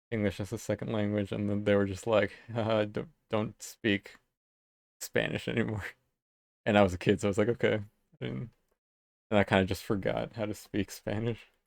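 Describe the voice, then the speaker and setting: A man with a fairly low pitch, vocal fry, and long, frequent pauses. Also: ordinary pitch variation, moderate pace. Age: 30s. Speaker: illustrator streaming live. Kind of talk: casual chat. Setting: live stream. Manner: casual, filler-heavy. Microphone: new microphone setup.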